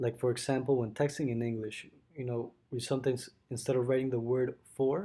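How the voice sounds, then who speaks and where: With a Spanish accent, a man talks at a medium pitch in a dark, mellow tone. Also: fairly even intonation, fairly quick pace. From Mexico City, Mexico. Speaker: student. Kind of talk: school presentation. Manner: halting.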